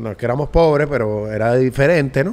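With a Venezuelan accent, a man talks at a fairly quick pace using ordinary pitch variation. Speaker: podcast host. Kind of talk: casual chat. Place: studio. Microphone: studio mic.

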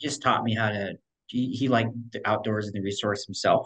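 A man speaks in a normal speaking voice at a fairly quick pace, with ordinary pitch variation over a quiet background. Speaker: podcast guest. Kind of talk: interview answer. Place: home room. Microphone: video call.

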